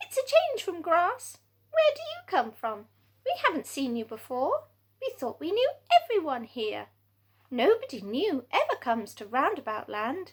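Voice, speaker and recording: A put-on character voice from a woman, extremely high in pitch, at a moderate pace. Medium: read story. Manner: eager, lively.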